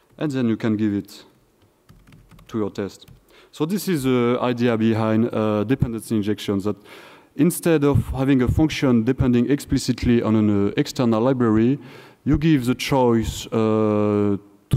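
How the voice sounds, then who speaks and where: A man with a French accent speaks at a moderate pace in a dark, mellow tone, with ordinary pitch variation. He leaves long, frequent pauses, and the background is quiet. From France. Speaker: software engineer, conference speaker. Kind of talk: conference talk. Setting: stage with audience, microphone. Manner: halting, with fillers and repetitions. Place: hall.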